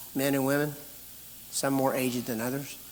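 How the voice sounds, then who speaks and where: Audible room echo surrounds a man's voice. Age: 60s. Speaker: pastor. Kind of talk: conference talk, Q&A answer. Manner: animated.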